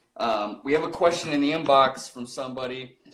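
A man with an American accent talks at a fairly slow pace in a medium pitch. Some room echo can be heard. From Rocky Ford, Colorado. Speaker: podcast host. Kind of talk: casual interview. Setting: livestream.

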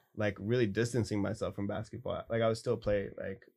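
Somewhat breathy speech at a fairly quick pace. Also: man. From military family, US Pacific Northwest and Germany. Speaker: artist. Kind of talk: casual interview chat.

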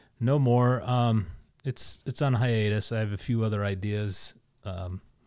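A man with a fairly low pitch and fairly even intonation is heard on a very clean recording with a silent background. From Connecticut. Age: 40s. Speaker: arts nonprofit board member and former DJ. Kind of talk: casual interview. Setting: studio. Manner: halting, many filler words.

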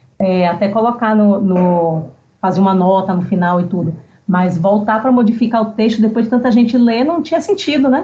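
A woman's somewhat breathy, dark and mellow voice, fairly high in pitch, with lively intonation and very even loudness. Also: moderate pace. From Bahia, Brazil. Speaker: novelist. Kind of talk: casual interview.

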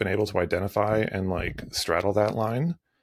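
A man speaks with a fairly low pitch and vocal fry. The recording is very clean, with a silent background. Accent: Canadian. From Canadian prairies. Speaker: creative performance coach and photographer. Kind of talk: casual conversational podcast interview.

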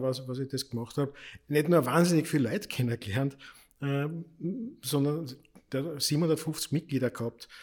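At a moderate pace, a man with a medium pitch keeps a fairly even intonation in a normal speaking voice. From Austria, Lower Austria (Krems). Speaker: politician and party club director. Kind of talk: casual chat.

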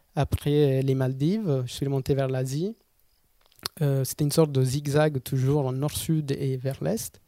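With an Italian accent, a man speaks at a fairly slow pace in a fairly high pitch with a dark, mellow tone, on a very clean recording with a silent background. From southern Italy, Basilicata. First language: Italian (speaking French). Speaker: photographer and traveller. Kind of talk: interview storytelling. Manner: hesitant, frequent fillers.

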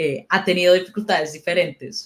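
A woman with an unremarkable speaking voice, fairly low pitch, fairly even intonation and a fairly quick pace. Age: 30s. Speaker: character animator. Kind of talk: casual chat.

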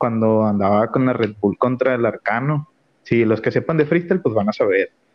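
This man's delivery is fairly quick, with ordinary pitch variation. It is an unremarkable speaking voice. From Mexico, Nuevo León. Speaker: barber. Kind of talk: casual chat.

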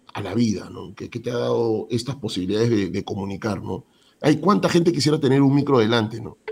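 Lively in intonation and with big swings in loudness, a man speaks at a fairly quick pace and a medium pitch. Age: 50s. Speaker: sports journalist and radio announcer. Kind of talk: casual interview. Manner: animated, repetitive.

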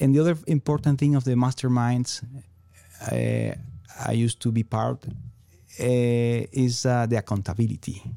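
A man with a Venezuelan accent at a moderate pace, medium in pitch, with fairly even intonation, very even loudness, long and frequent pauses, and a dark, mellow tone in a very clean recording with a silent background. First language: Spanish. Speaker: entrepreneur. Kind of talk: interview. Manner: halting.

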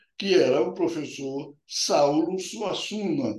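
A man speaks in a high pitch at a very slow pace. Audible room echo surrounds his voice. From Paraíba, Brazil (rural interior). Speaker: urologist. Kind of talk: interview. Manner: halting.

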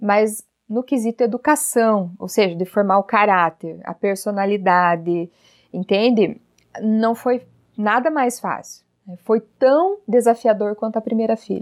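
A woman speaks in a normal speaking voice at a fairly high pitch and a fairly slow pace, with ordinary pitch variation. The recording is very clean and dry, close with no echo and a silent background. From Paraná, Brazil (Telêmaco Borba). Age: 30s. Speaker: parenting educator and channel host. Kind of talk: casual interview chat.

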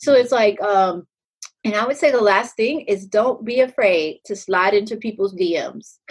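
Speaking fairly slowly with an American accent, a woman uses a normal speaking voice and ordinary pitch variation. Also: fairly high pitch for a woman. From Texas, Pflugerville. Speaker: real estate agent and nurse. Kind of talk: casual interview.

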